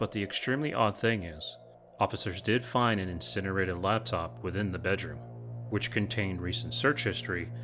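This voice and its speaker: Over music in the background, a man with a fairly low pitch speaks with very wide pitch swings. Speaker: true crime channel host. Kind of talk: true crime narration.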